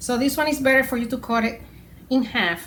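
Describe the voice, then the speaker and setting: In a Puerto Rican accent, a woman speaks at a fairly quick pace with fairly even intonation. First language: Spanish. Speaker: home cook. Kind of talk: cooking tutorial. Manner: casual, hesitant.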